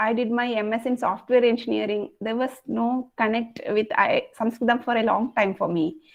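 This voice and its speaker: A woman with a high voice, fairly even intonation and a Kerala Indian accent. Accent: Malayali Indian English. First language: Malayalam. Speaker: Sanskrit learner sharing experience. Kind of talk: online group discussion.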